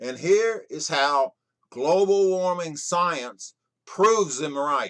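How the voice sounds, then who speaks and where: A man with an American accent speaks at a high pitch. His pace is very slow, with ordinary pitch variation. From Texas. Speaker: storyteller. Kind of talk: scripted political monologue.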